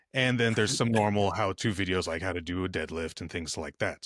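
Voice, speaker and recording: A man's very deep, low voice at a fairly quick pace with ordinary pitch variation, dry and close with no echo, in a very clean recording with a silent background. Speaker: podcast guest, fitness video creator.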